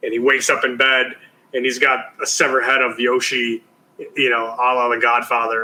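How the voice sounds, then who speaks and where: With a strong Chicago accent, a man talks fairly quickly at medium pitch in a monotone, flat intonation. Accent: thick Chicago. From US Midwest, Chicago. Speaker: TV producer. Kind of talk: interview.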